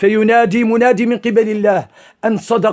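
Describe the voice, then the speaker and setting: A man speaks at a fairly slow pace. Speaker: Islamic preacher. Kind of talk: religious sermon.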